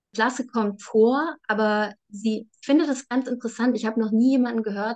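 A woman speaks in a normal speaking voice at a moderate pace. Her pitch variation is ordinary. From Saxony, eastern Germany (Bautzen). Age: 30s. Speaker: novelist and journalist. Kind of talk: interview.

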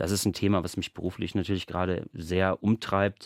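On a very clean, dry and close recording with a silent background and no echo, a man speaks at a moderate pace in a very deep, low voice. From western Germany (Bochum, Ruhr area). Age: 30s. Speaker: theatre dramaturge. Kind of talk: radio interview.

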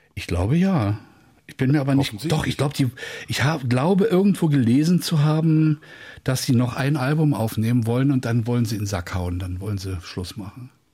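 The voice is somewhat breathy with a dark, mellow tone and lively intonation, moving at a moderate pace in a very clean recording with a silent background. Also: man, medium pitch for a man. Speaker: music presenter. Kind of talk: casual chat. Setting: studio. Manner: more lively since retirement.

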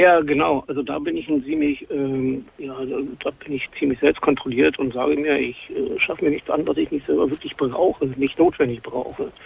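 There is noticeable background noise as a man speaks at a moderate pace with hardly any pauses. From Brandenburg, Germany. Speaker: caller. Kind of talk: radio call-in conversation.

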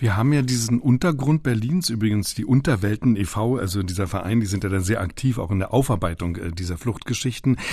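This man has a medium pitch and a dark, mellow tone, a little breathy, with lively intonation. He speaks at a fairly quick pace against a quiet background. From East Berlin. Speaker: radio host. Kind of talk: podcast moderation and interview.

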